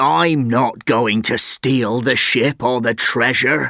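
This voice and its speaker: Using a put-on, growling character voice, a man speaks very slowly at a medium pitch with very even loudness. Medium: read story. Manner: sly.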